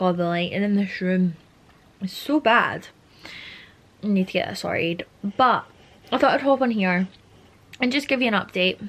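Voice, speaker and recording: With noticeable background noise behind her, a woman talks at a moderate pace and medium pitch, using ordinary pitch variation and long, frequent pauses. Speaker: fitness vlogger and bikini competitor. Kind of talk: casual vlog. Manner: casual, chatty.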